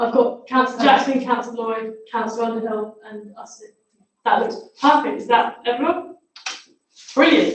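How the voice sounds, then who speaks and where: Audible room echo surrounds a woman whose high pitch and fairly even intonation come with big swings in loudness. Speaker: council meeting chair. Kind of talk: formal meeting chairing. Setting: council chamber, livestreamed. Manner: fast; quiet.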